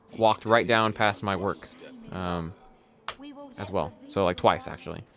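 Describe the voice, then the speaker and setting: A man speaks with a slight Texan accent. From Texas. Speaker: game streamer. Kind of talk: casual chat. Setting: live stream with webcam.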